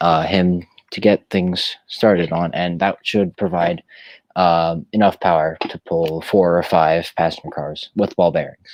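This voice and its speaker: A man talks at a fairly slow pace in a very deep, low voice with monotone, flat intonation. The background is quiet. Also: dry, close sound with no echo. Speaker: livestream co-host, model railroad hobbyist. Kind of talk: casual chat.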